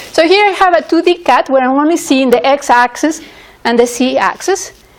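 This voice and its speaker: Talking at a moderate pace with lively intonation, a woman with a high pitch is heard over noticeable background noise. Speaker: university lecturer. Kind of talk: lecture.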